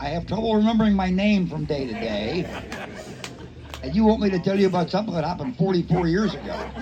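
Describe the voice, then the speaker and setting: Talking at a very fast pace, a man with a high voice uses lively intonation, and there is audible room echo along with noticeable background noise. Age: 70s. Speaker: retired state police investigator. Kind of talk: public Q&A answer.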